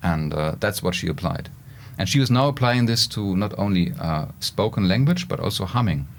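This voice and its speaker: A man's lively intonation comes through despite noticeable noise in the background. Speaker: professor and robotics researcher. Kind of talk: podcast interview. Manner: halting, with fillers.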